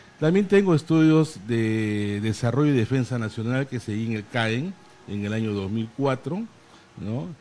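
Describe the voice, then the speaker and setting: A man at a moderate pace, with medium pitch and ordinary pitch variation. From Peru, Lima. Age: 60s. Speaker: lawyer and Senate candidate. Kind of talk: interview. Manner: hesitant with fillers.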